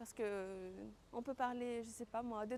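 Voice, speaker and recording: Against noticeable background noise, a woman talks fairly slowly. Her pitch is high, with ordinary variation. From Tahiti, French Polynesia. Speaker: professional lagoon fisher and fitness coach. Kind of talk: interview answer.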